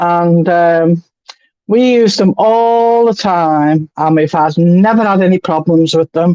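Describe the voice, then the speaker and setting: Very slow speech in a Liverpool accent. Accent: Liverpool (Scouse). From England, Liverpool. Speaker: spiritualist medium. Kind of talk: casual chat.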